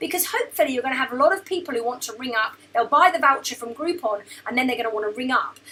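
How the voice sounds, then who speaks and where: Her voice is raised and projected. This woman's pitch ranges over a very wide span. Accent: British. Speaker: business mentor and former chiropractor. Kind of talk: tutorial. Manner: fast.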